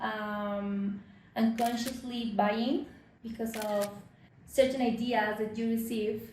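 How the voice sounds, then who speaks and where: A woman talks at a fairly slow pace with a Spanish accent, her pitch fairly high and her intonation fairly even. Audible room echo surrounds her voice. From Mexico. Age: 30s. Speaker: fashion business consultant. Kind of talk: interview. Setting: at her home. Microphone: poor sound quality.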